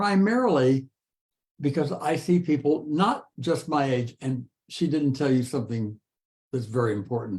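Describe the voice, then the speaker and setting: Lively intonation marks this man's fairly high-pitched voice. It sounds somewhat breathy. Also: moderate pace. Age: 80s+. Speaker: author. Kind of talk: interview.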